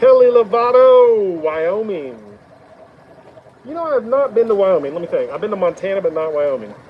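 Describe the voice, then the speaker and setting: A man with an American accent, high pitch and very wide pitch swings, talking at a moderate pace over noticeable background noise. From Oklahoma. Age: 50s. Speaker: woodturner. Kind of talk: live stream chat. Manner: casual, conversational.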